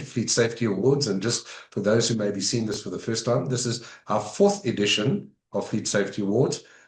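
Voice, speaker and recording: The man's voice is somewhat breathy. His pitch rises and falls in an ordinary way. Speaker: road safety interview host. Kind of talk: interview.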